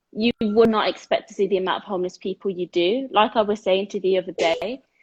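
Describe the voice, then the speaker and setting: A woman talks at a fairly quick pace, her voice somewhat breathy. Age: 20s. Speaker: sports therapist and dyslexia advocate. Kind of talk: casual chat. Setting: video call.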